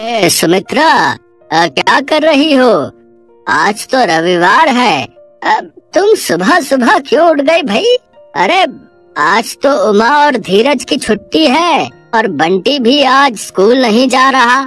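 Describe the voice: A man does a cartoonish character voice at an extremely high pitch, swinging his pitch very widely at a fairly slow pace over faint background music.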